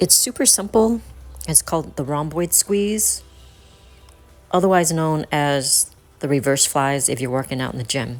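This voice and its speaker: A woman's very deep, low voice with an American accent, at a moderate pace with lively intonation and long, frequent pauses, over music in the background. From United States, North Carolina. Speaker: personal trainer and fitness instructor. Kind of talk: fitness instruction video to camera. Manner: clear, instructive.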